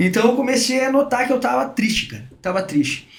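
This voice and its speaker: A man speaks with lively intonation. There's audible room echo and noticeable background noise. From southern Brazil, Rio Grande do Sul (Porto Alegre). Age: 40s. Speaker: sales director. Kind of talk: podcast interview. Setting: studio. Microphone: too far from the mic at first.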